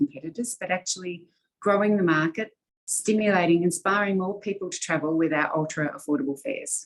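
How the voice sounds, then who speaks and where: Speaking at a fairly quick pace, a woman with an Australian accent uses a medium pitch and ordinary pitch variation. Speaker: airline executive. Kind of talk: interview.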